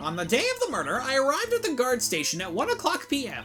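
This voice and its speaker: A put-on character voice moves at a fairly quick pace. Clear music plays in the background. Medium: game stream. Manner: rambling, calls everyone dearie.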